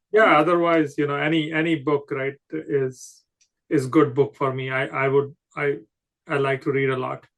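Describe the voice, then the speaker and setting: A man speaks with a Punjabi accent at a moderate pace. His pitch is fairly high and his intonation fairly even. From Himalayan region of India. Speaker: podcast host and poet. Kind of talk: interview. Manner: halting, many fillers.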